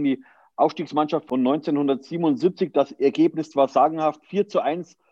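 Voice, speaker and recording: A man with a normal speaking voice talks at a fairly high pitch. His intonation is fairly even. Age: 40s. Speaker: podcast host. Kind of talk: interview.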